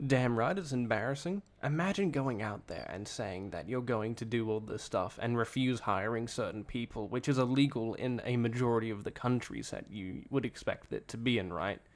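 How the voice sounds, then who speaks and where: The speaker has an Australian accent. There are hardly any pauses. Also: man, medium pitch for a man, ordinary pitch variation, moderate pace. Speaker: streamer co-host. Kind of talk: casual chat. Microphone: possible echo, sitting close to mic.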